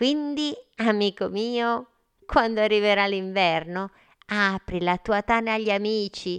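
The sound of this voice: Against a quiet background, the clip carries an unforced reading voice.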